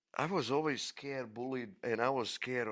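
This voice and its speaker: A man speaks with a Croatian accent at a medium pitch. His pace is fairly slow. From Croatia, village near Dubrovnik. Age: 50s. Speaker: podcast storyteller. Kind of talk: personal life story monologue. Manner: halting, many repetitions.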